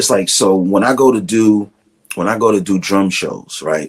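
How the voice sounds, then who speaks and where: A man's fairly low voice with a Brooklyn accent and ordinary pitch variation. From Brooklyn, New York. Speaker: drummer and music director. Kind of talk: casual interview chat. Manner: animated.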